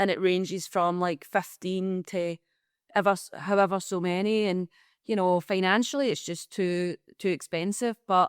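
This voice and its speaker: A woman's medium-pitched voice with a Glaswegian accent at a moderate pace, fairly even in intonation, in a very clean recording with a silent background and a dry, close sound with no echo. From Scotland, Glasgow. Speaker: comedian. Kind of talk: podcast interview. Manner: halting, many fillers and restarts.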